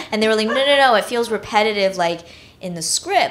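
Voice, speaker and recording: Noticeable background noise runs beneath a woman speaking with an American accent. Her intonation is lively and her pace fairly quick. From China, then raised in US from age six. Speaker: film director. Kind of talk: interview on stage. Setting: stage with audience. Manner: casual, many fillers.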